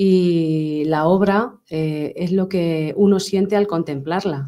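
Against a quiet background, a woman speaks with a fairly low pitch, fairly even intonation and a dark, mellow tone. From Spain, Tomelloso (Castilla-La Mancha); Castilla-La Mancha, Spain. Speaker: sculptor; guest. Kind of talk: interview. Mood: calm, heartfelt. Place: studio. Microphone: studio mic.

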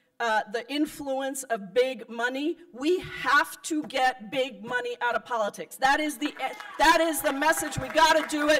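With a quiet background, a woman speaks in a high voice that swings very widely in pitch. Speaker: politician addressing a convention. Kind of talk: political speech. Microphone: podium.

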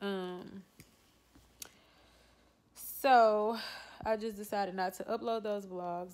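Her intonation fairly even, a woman is speaking. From Louisiana. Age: 20s. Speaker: vlogger. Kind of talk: casual talk to camera. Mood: low, subdued, reflective. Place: home room. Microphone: phone near.

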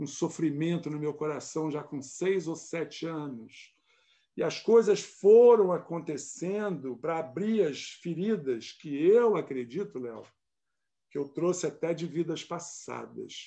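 Over a quiet background, a man speaks at a very slow pace in a dark, mellow tone, fairly high in pitch with ordinary pitch variation. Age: 60s. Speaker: shamanic ceremony leader and holistic therapist. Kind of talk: interview. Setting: live stream video call.

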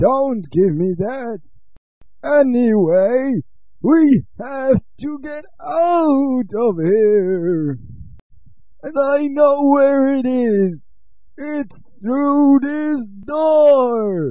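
This man's pitch is extremely high. He speaks at a very slow pace. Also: lively intonation. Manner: blustering, shouting.

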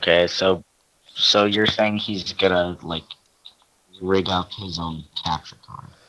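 A man with a very deep, low pitch speaks in a monotone, flat delivery at a very slow pace. His loudness swings widely, and he takes long, frequent pauses. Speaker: gaming video creator. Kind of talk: gameplay commentary, casual chat. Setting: online voice call. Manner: sarcastic, joking.

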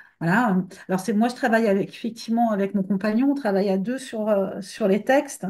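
Over a quiet background, a woman speaks in a somewhat breathy, fairly high voice. Her intonation stays fairly even. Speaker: book editor. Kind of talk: interview. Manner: halting. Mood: relaxed, thoughtful. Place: home room. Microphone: webcam.

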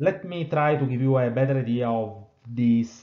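A man speaks in an Italian accent at a fairly slow pace. His pitch varies normally, and room echo is audible. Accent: Italian, non-British. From southern Italy, Naples. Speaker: engineering professor. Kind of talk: webinar lecture.

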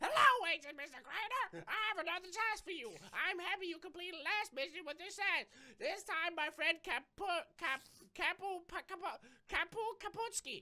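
This put-on character voice moves at a moderate pace with lively intonation and long, frequent pauses. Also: woman, extremely high pitch for a woman. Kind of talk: gameplay commentary, reading dialogue aloud. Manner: formal, instructive.

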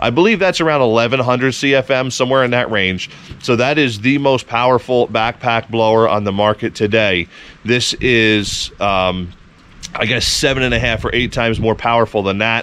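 A man's moderate-paced speech, dry in sound with no echo. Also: ordinary pitch variation. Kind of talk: casual product review vlog. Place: open country. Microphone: phone near.

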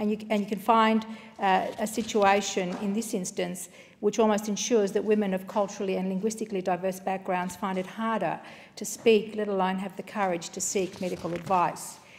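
A woman with an Australian accent talks at a fairly quick pace in monotone, flat intonation over light background noise. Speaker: member of parliament. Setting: parliament chamber. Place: hall. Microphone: podium.

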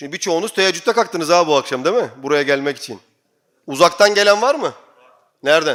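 A man talks at a very fast pace in an animated tone, his high voice full of lively intonation and big swings in loudness. The recording is very clean, with a silent background. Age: 40s. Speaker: imam. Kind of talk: sermon.

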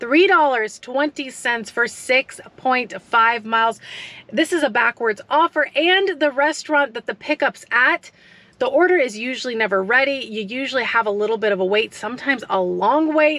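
At a moderate pace, a woman talks in a high pitch, the sound dry with no echo. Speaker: food delivery driver vlogger. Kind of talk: casual vlog chat. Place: car. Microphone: phone near.

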